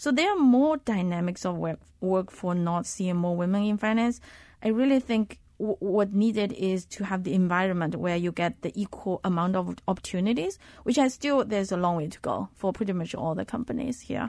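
With a Chinese accent, a woman speaks at a moderate pace in a dark, mellow tone of medium pitch with ordinary pitch variation, on a very clean recording with a silent background. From Zhejiang, China. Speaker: fund manager and researcher. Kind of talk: casual interview.

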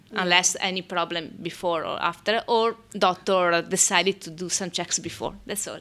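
A woman with an Italian accent at medium pitch, moderate pace, monotone, flat intonation, and hardly any pauses. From Italy. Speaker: midwife. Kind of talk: interview. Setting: hospital birthing room.

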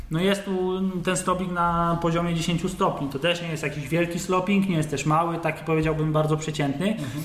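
Over noticeable background noise and audible room echo, a man speaks in a high pitch. His delivery is monotone and flat at a fairly quick pace. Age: 20s. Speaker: bicycle frame builder. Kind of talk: interview.

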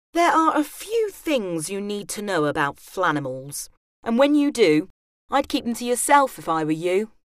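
Her pitch sits in the middle range for a woman and swings very widely as she talks at a moderate pace. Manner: playful, animated delivery with comic emphasis.

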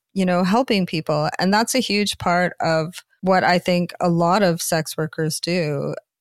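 Speaking with a Canadian accent in a plain, everyday voice, a woman goes at a fairly slow pace with ordinary pitch variation, the recording very clean with a silent background and a dry, close sound with no echo. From Canada. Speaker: author and adult performer. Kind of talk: interview conversation.

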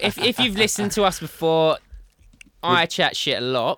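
In an Essex accent, a man speaks with a high pitch, a bright, sharp tone and lively intonation at a moderate pace. His loudness is very even, and the sound is dry and close with no echo. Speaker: podcast host. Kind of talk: casual, slangy. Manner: talkative, chatty.

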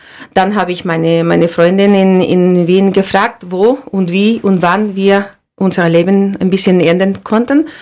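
In a Spanish accent, a woman speaks fairly slowly with fairly even intonation. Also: medium pitch for a woman. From Andalusia, Spain (Seville). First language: Spanish (speaking German). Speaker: olive oil producer. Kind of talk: interview. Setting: studio. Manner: halting, many repetitions and fillers.

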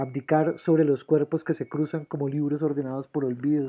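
Speaking at a moderate pace, a man uses a fairly high pitch with monotone, flat intonation. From Colombia, Bucaramanga. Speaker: poet. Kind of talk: poetry reading.

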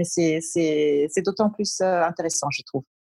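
Somewhat breathy, a woman speaks. Her pace is fairly slow. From German and Colombian background, partly raised in New York. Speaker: brand strategist and business coach. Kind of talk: interview.

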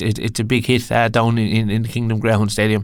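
A man with an Irish accent at medium pitch. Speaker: podcast host. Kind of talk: casual chat.

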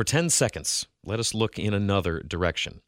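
The speaker uses an unforced reading voice against a quiet background.

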